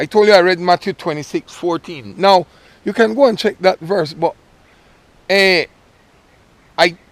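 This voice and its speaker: Speaking at a moderate pace, a man uses a high voice with ordinary pitch variation and long, frequent pauses. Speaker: vlogger. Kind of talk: casual motivational vlog.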